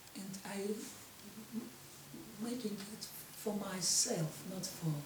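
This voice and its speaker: Lively intonation in a Russian accent comes through noticeable background noise and audible room echo. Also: woman. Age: 50s. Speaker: vlogger. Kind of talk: personal monologue. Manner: halting.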